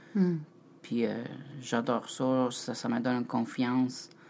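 A man speaks very slowly with a non-native accent, his medium-pitched voice carrying a dark, mellow tone. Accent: foreign accent in French. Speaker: host's partner, former ship bartender. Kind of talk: casual chat. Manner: halting.

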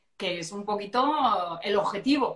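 A woman speaks with a La Mancha accent in an animated tone. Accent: Manchego Spanish. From Castilla-La Mancha, Albacete. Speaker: astrologer. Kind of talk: casual interview chat.

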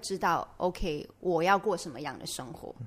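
A woman's normal speaking voice, fairly low and fairly slow. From Malaysia. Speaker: podcast host. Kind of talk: casual interview.

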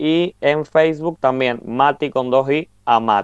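A man speaks at a very slow pace in a fairly high pitch with fairly even intonation. The sound is dry and close, with no echo. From Argentina, Mendoza. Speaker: podcast co-host. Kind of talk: casual chat.

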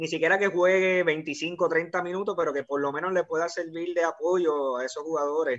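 A plain, everyday voice with fairly even intonation. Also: man. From Puerto Rico. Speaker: basketball fan guest. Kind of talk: casual chat.

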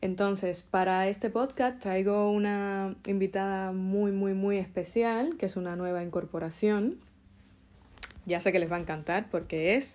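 The speaker uses a plain, everyday voice, moving at a fairly slow pace with fairly even intonation. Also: woman, medium pitch for a woman. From Cuba. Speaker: podcast host. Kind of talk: casual interview.

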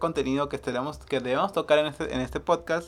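A man at a moderate pace, music in the background. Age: 30s. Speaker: podcast host. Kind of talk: casual chat.

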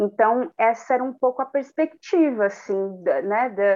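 Her voice is an ordinary speaking voice, with the woman talking at a fairly slow pace and ordinary pitch variation. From Cubatão, São Paulo coast (Brazil). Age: 20s. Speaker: actress and performer. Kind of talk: casual interview chat.

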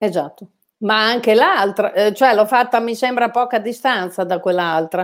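A woman speaks with a strong Bolognese accent at a fairly high pitch. Her pace is fairly slow, with ordinary pitch variation. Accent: Bolognese accent, strong by own account. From Bologna, Italy. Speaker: amateur photographer. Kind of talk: casual interview chat. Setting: online live stream.

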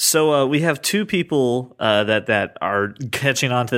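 A man speaks with ordinary pitch variation. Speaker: podcast co-host. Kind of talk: scripted narration; casual chat. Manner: puts on a special voice for intros and outros.

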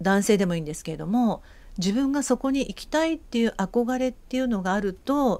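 The recording is very clean, with a silent background. A woman with a dark, mellow tone speaks at a moderate pace with lively intonation. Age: 50s. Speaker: project founder. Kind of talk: radio interview.

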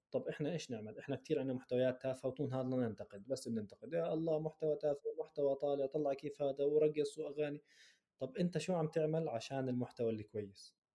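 In a Jordanian accent, a man speaks with a dark, mellow tone, a fairly high pitch, ordinary pitch variation and a fairly quick pace. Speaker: orthopedic surgeon and content creator. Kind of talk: interview. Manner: casual, code-switching with English terms.

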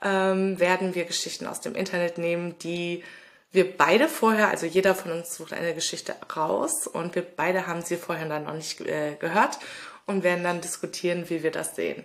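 A woman with an ordinary speaking voice, fairly low in pitch, at a moderate pace with fairly even intonation. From Ruhr area, Germany (Lünen near Dortmund). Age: 30s. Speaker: podcast co-host. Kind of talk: casual podcast intro.

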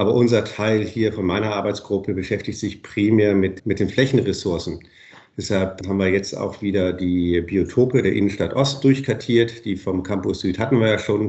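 This man's intonation stays fairly even as he talks at a moderate pace. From northern Germany, Bremen. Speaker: professor. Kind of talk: interview.

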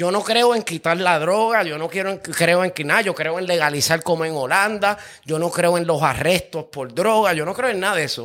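Bright and sharp in tone, a man with a Puerto Rican accent talks in an animated way at a high pitch. He keeps a moderate pace with hardly any pauses and ordinary pitch variation. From Puerto Rico, Carolina. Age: 40s. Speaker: music producer. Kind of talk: casual chat.

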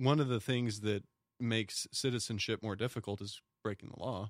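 Speaking with an American accent in an ordinary speaking voice, a man talks at a moderate pace with fairly even intonation, his dry, close sound having no echo on a very clean recording with a silent background. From smaller US town. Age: 40s. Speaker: police officer. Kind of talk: casual chat.

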